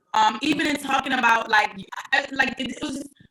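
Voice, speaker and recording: Loud and animated, the voice comes with an American accent and ordinary pitch variation. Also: woman. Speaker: filmmaker. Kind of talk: panel discussion.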